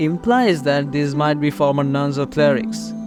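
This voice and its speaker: A man's fairly high-pitched voice with lively intonation at a fairly slow pace, music playing in the background. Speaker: gaming video essayist. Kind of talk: casual game lore video narration.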